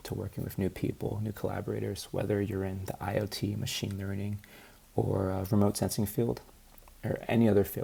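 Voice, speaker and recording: This man has a dark, mellow tone and fairly low pitch, with vocal fry. His intonation stays monotone and flat. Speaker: student researcher presenting a project. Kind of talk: practice presentation. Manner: low energy.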